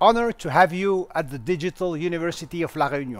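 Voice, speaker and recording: This is a man speaking. His intonation is lively. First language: French. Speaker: university lecturer and interviewer. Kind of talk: interview introduction.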